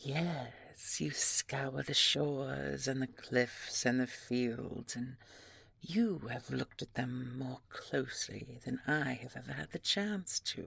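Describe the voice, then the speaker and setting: In a put-on character voice, a woman speaks at a very deep, low pitch. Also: fairly slow pace. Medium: audio drama. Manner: polite, slow, measured.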